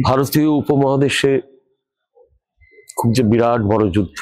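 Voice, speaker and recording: This man has a normal speaking voice, medium in pitch, with ordinary pitch variation and very even loudness. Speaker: poet and professor. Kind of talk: opinion commentary to camera.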